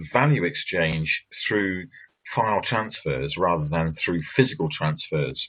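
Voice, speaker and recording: Very wide pitch swings mark this fairly slow speech in an English accent. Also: man. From England. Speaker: author and banking commentator. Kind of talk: presentation.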